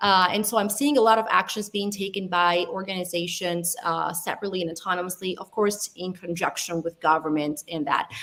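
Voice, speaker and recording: A woman talks at a medium pitch with ordinary pitch variation. She keeps a fairly quick pace with hardly any pauses. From Italy, Albanian heritage. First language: Italian. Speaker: data science panelist. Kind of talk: panel discussion.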